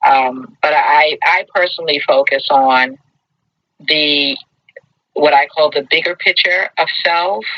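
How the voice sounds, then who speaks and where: A woman with an American accent talks at a very slow pace with long, frequent pauses. Her loudness stays very even. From Brooklyn, New York. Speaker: talk show host. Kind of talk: casual chat.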